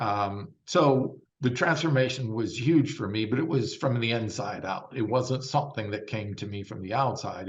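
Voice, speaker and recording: A somewhat breathy man with an American accent and a fairly low pitch, with audible room echo. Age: 60s. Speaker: vegan bodybuilder. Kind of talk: interview. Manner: animated.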